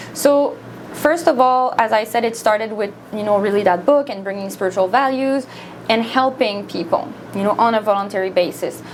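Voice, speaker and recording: With a French Canadian accent, a woman talks at a moderate pace in a fairly high voice with ordinary pitch variation, over noticeable background noise. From Quebec, Montreal. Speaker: volunteer minister. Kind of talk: studio interview. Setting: studio.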